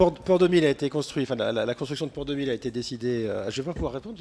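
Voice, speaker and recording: A man's put-on character voice, hoarse and medium in pitch, with lively intonation at a very fast pace, plus clear background noise. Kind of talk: formal, official.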